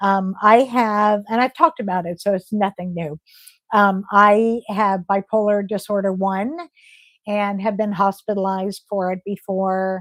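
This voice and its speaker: A woman with a plain, everyday voice at a fairly slow pace, fairly even intonation, a dry, close sound with no echo, and a very clean recording with a silent background. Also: medium pitch for a woman. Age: 60s. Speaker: health vlogger. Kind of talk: livestream chat. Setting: livestream. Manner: casual.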